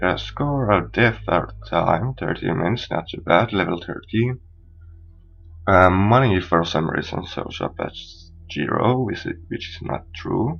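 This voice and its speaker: Music plays behind a man with a non-native accent whose very deep, low voice moves with lively intonation at a fairly slow pace. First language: not English. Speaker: gaming video creator. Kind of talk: let's play commentary. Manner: somewhat halting.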